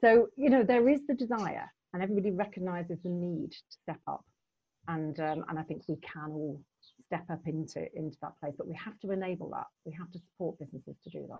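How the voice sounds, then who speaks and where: Delivered in an ordinary speaking voice at a fairly quick pace, the speech has big swings in loudness. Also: woman, fairly low pitch for a woman. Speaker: LEP chair. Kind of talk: moderated panel discussion. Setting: video call.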